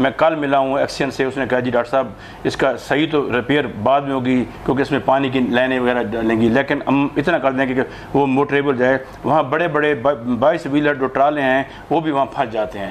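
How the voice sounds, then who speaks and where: A man at medium pitch and a moderate pace, with fairly even intonation and noticeable background noise. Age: 60s. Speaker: retired doctor and social activist. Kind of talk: interview.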